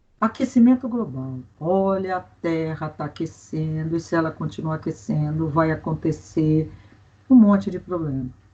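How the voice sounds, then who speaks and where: A woman with a very deep, low pitch speaks in a somewhat breathy voice with lively intonation. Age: 60s. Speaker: environmental expert, forestry engineer and teacher. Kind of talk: interview.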